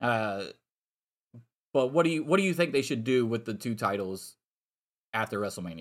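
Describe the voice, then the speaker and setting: A man's pitch swings very widely. He speaks with long, frequent pauses. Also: medium pitch for a man, moderate pace, very clean recording, silent background. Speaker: podcast host. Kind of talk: angry rant about wrestling booking, heated and profane. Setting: live stream. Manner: loud, fired up, emphatic.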